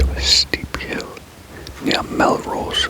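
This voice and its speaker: Someone whispers while noticeable noise fills the background. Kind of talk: true crime story reading, with a self-corrected stumble. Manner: whispered, soft, lo-fi.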